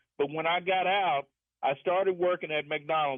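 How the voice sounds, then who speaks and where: Here is a man with a normal speaking voice. He talks at a moderate pace with ordinary pitch variation. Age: 60s. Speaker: caller, former prison guard. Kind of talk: radio call-in.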